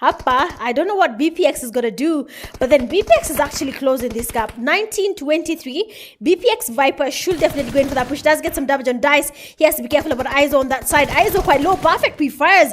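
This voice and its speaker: Against noticeable background noise, a woman talks very fast in a high pitch, her tone animated and her intonation lively. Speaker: esports caster. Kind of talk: live commentary.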